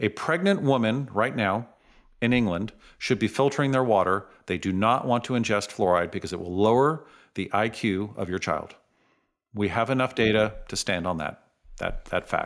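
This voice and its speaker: On a very clean recording with a silent background, a man with an unremarkable speaking voice and an American accent speaks at a moderate pace, with fairly low pitch and ordinary pitch variation. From San Francisco, US West Coast. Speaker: dentist. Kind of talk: interview.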